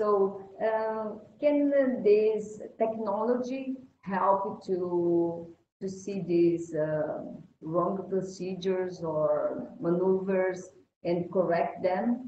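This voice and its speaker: The speech moves at a very slow pace. Light background noise and audible room echo can be heard. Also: woman, medium pitch for a woman, ordinary pitch variation. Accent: Portuguese. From Brazil. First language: Portuguese. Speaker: event host. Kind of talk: live interview; interview question. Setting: video call. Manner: halting. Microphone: video call.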